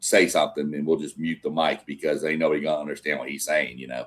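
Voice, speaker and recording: A man is speaking. He has a slight Southern US accent. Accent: slight Southern twang. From Texas. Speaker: sports show host. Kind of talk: casual live stream chat. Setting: live stream.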